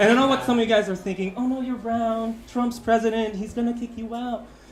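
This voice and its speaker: Very fast male speech against clearly audible background noise. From Philippines. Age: 30s. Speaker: amateur stand-up comedian. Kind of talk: stand-up comedy set. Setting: comedy club open mic. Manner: occasionally stumbling over words.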